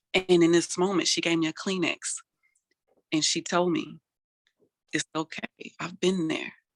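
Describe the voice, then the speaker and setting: Long, frequent pauses break up a woman's fairly slow, monotone and flat delivery, her fairly low pitch captured with a dry, close sound with no echo. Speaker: motivational speaker; mental health advocate. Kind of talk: interview answer.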